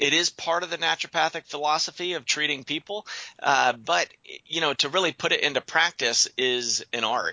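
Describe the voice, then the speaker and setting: A man with a fairly high pitch talks at a moderate pace. He has a plain, everyday voice with ordinary pitch variation. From Western Pennsylvania. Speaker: naturopathic doctor. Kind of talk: interview.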